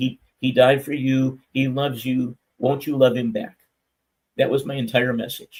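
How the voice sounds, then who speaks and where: Monotone and flat in intonation, the voice also sounds somewhat breathy. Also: man, medium pitch for a man, moderate pace. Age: 70s. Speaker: minister. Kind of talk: testimony. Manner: stammering.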